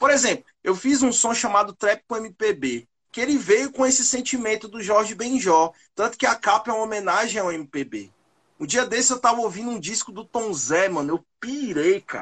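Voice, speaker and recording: The background is quiet as a man speaks at a moderate pace. His pitch is high for a man. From Brasília, Brazil. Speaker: rapper. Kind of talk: interview.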